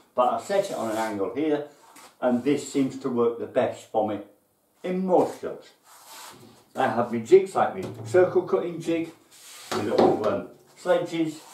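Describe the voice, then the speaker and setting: Pausing long and often, a man speaks amid audible room echo and light background noise. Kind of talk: casual tour explanation. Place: workshop.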